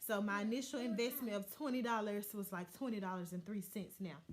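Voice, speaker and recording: Her voice is fairly high and somewhat breathy as the woman speaks. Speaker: lifestyle vlogger and mother. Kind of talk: casual talk to camera.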